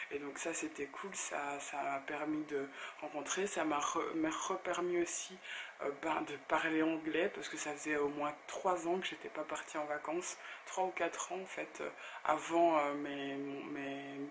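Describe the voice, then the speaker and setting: Speaking very slowly in a very deep, low pitch, a woman keeps a monotone, flat intonation against noticeable background noise. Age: 30s. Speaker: blogger and YouTuber. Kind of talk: casual talk to camera.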